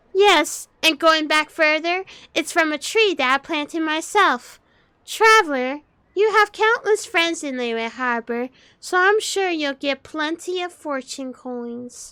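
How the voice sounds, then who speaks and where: A woman puts on a squeaky character voice with an extremely high pitch and a playful tone. Her intonation is lively and her pace fairly slow, in a dry, close sound with no echo. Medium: machinima. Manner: playful, teasing.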